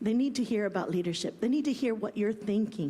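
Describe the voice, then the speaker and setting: Somewhat breathy and fairly high, a woman's voice with lively intonation. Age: 60s. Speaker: school co-founder and panel speaker. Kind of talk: conference panel talk. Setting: conference stage with audience.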